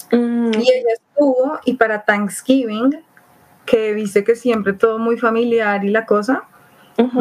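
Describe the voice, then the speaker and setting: It is a plain, everyday voice at a moderate pace. The intonation stays fairly even. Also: woman. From Colombia, Bogotá. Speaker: traveler. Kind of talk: casual chat.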